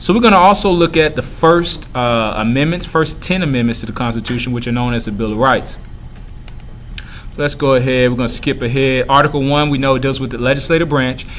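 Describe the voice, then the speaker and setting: Amid noticeable background noise and audible room echo, a man with a medium pitch talks at a very fast pace with ordinary pitch variation. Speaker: middle school teacher. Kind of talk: recorded review lesson. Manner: hesitant with fillers.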